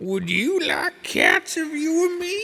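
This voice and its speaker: A put-on character voice, extremely high and shrill, speaks. The pace is fairly slow. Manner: passionate, indignant.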